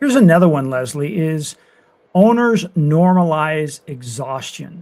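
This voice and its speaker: In an unremarkable speaking voice, a man with an American accent talks at a fairly slow pace, his fairly high pitch moving with lively intonation. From Colorado and northern US. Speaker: podcast co-host. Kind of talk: podcast conversation.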